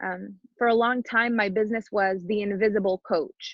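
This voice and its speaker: A woman speaks at a moderate pace with a French Canadian accent. Her intonation stays fairly even. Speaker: business coach. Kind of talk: podcast interview.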